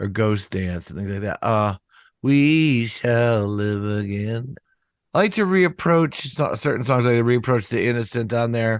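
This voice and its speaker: A man with a fairly low-pitched voice speaks at a moderate pace. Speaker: rock singer-songwriter. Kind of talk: interview. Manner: halting.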